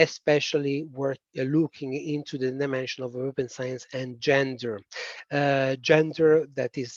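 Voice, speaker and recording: A man speaks at a moderate pace in a strong Italian accent, medium in pitch. His intonation is flat and monotone, in a dry, close sound with no echo. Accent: thick Italian. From Italy. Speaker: policy expert presenter. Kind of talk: webinar presentation. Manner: hesitant, many fillers.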